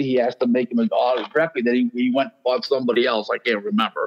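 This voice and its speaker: Medium in pitch, this man's voice shows ordinary pitch variation. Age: 60s. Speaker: boxing agent and consultant. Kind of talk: podcast interview. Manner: halting.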